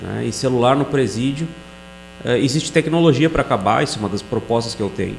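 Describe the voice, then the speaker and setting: Over noticeable background noise, a man talks at a very fast pace, his pitch varying in an ordinary way. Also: medium pitch for a man. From Rio Grande do Sul, Brazil (Bagé, Sapiranga). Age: 40s. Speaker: police chief and political candidate. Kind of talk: podcast interview.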